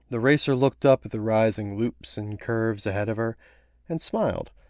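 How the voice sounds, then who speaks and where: A man talks in an unremarkable speaking voice at a moderate pace, with ordinary pitch variation. The recording is very clean, with a silent background. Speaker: voice actor. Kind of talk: read short story narration.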